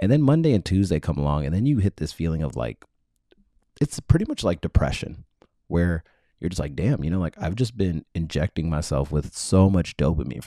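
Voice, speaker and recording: Speaking with an American accent, a man uses a very deep, low pitch with vocal fry, lively intonation and a fairly quick pace, in a dry, close sound with no echo. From Texas, Dallas area. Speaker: podcast host. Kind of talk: casual solo monologue. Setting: home recording in childhood bedroom. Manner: casual, filler-heavy.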